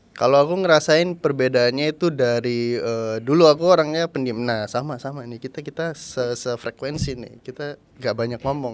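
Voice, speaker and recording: This man's loudness swings widely while his pitch varies in an ordinary way. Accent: slight East Javanese. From Indonesia, Surabaya (East Java). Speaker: host, influencer. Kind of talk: casual chat.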